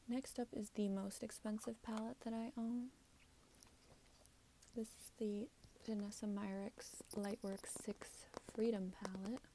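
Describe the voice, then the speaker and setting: At a fairly slow pace, a woman speaks with a fairly high pitch, a dark, mellow tone and a somewhat breathy sound. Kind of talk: ASMR show and tell. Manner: soft-spoken; casual, chatty.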